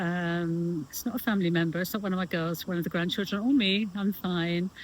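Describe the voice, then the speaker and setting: A woman talks at a fairly quick pace, her fairly low pitch held in fairly even intonation. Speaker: lifestyle vlogger. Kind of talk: casual vlog monologue. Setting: outdoors on a beach. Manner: halting, many fillers; loud. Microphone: no microphone, camera mic.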